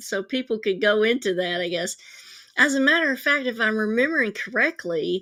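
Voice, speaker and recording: An ordinary speaking voice from a woman, fairly high in pitch, fairly quick and lively in intonation, on a very clean recording with a silent background. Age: 60s. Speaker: psychic and live show host. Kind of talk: live stream talk. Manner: casual, with fillers.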